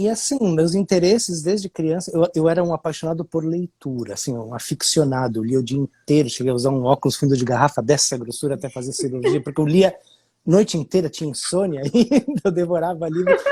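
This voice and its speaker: A man with a dark, mellow tone and fairly high pitch talks at a fairly quick pace with lively intonation and hardly any pauses. The sound is dry and close with no echo, on a very clean recording with a silent background. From Brazil, Curitiba. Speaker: musician. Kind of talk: casual interview chat. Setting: live video stream.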